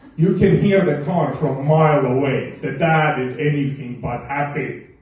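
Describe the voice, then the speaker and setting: Over noticeable background noise, a man talks at a moderate pace with fairly high pitch and fairly even intonation. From Estonia. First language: not English. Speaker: stand-up comedian. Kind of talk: stand-up comedy set. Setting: live venue with audience.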